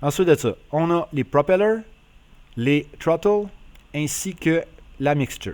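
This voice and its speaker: A man with a strong Quebec accent speaks at a very slow pace. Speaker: flight simulator YouTuber. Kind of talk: casual tutorial narration.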